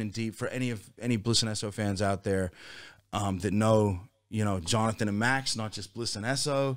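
In a very clean recording with a silent background, a man with an American accent uses a plain, everyday voice at a fairly low pitch and moderate pace. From Virginia, US (near Washington DC). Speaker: hip-hop musician, band leader. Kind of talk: casual interview chat.

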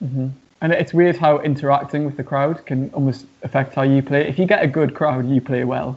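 Fairly high for a man, this voice with a British accent moves at a moderate pace with fairly even intonation. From Newcastle, England. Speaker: rock musician. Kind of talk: casual interview chat.

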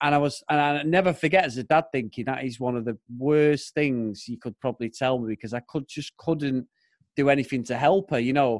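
In a British accent, a man of medium pitch talks at a fairly quick pace with ordinary pitch variation, his voice dry and close with no echo against a quiet background. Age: 40s. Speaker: podcaster. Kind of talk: casual chat.

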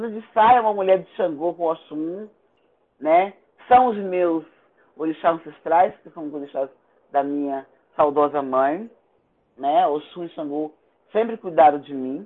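Her intonation lively, a woman with a fairly low pitch talks at a fairly slow pace, with long, frequent pauses and big swings in loudness. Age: 60s. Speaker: Afro-Brazilian religious priestess and cultural activist. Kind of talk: interview testimony.

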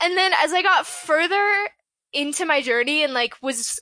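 A woman's raised, projected voice, bright and sharp in tone, with lively intonation at a moderate pace. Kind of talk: casual interview.

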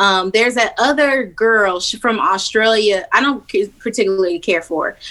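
At a moderate pace, a woman speaks at a fairly high pitch in a bright, sharp tone with lively intonation. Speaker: podcast host. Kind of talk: casual chat. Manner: casual, profane.

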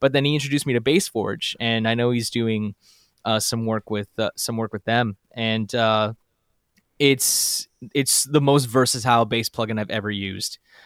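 A man with a plain, everyday voice speaks at a medium pitch and moderate pace with fairly even intonation, in a dry, close sound with no echo on a very clean recording with a silent background. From Canada. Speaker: audio producer and musician. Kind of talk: casual chat.

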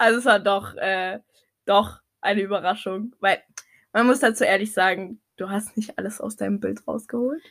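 A woman with an unremarkable speaking voice talks at a moderate pace in a medium pitch, with fairly even intonation. The recording is very clean, with a silent background. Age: 20s. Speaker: podcast co-host. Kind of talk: casual chat.

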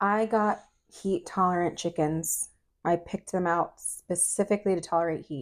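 Here is a woman with an unremarkable speaking voice at medium pitch. She keeps a moderate pace and fairly even intonation. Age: 40s. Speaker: podcast co-host, mother. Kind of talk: casual chat. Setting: home recording at night.

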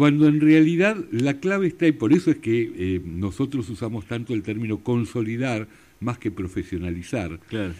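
With a Rioplatense accent, a man speaks at a moderate pace in a dark, mellow tone, his medium pitch making very wide swings, all in a very clean recording with a silent background. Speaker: radio host and family business consultant. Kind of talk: radio interview.

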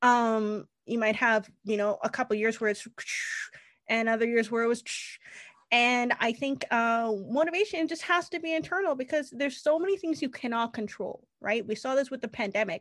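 Over a quiet background, a woman speaks at a moderate pace with a fairly high pitch and lively intonation. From Canada. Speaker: retail consultant and business founder. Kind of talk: interview.

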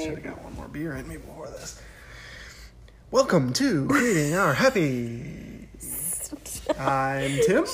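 The speech moves at a fairly slow pace with long, frequent pauses and big swings in loudness. Noticeable background noise runs underneath. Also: man. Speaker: podcast host.

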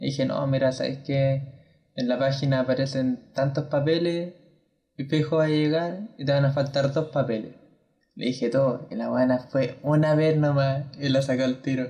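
At a moderate pace, a man speaks in a dark, mellow tone with a fairly high pitch and fairly even intonation. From Chile, Valparaíso region. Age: 20s. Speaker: university student, podcast co-host. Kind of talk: casual chat.

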